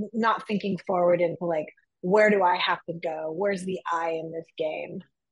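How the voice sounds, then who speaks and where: In an ordinary speaking voice, a woman talks at a moderate pace with medium pitch and fairly even intonation, the sound dry and close with no echo. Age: 50s. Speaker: executive coach. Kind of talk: interview conversation.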